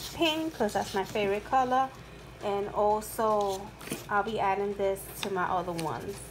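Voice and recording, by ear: A woman speaks slowly at a medium pitch with ordinary pitch variation.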